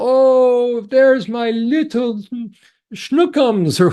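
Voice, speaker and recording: A female-sounding voice in a put-on character voice, high-pitched for a woman, at a very slow pace. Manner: playful, cooing, affectionate.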